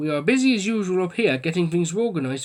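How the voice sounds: The natural reading voice here has lively intonation.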